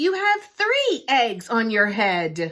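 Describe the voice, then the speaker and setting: A woman uses a put-on character voice with a fairly high pitch. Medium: read story. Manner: calm, cheerful.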